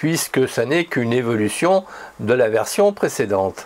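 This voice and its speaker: A man talks at a moderate pace with a medium pitch. It is a plain, everyday voice. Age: 60s. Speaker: photography YouTuber. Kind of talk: opinion monologue with imagined dialogue. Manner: conversational, ironic.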